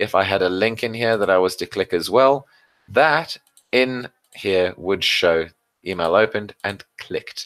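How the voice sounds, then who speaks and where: In an unremarkable speaking voice, a man talks at a fairly low pitch with ordinary pitch variation. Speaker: customer success manager presenting webinar. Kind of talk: webinar tutorial. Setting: live online webinar with screen share.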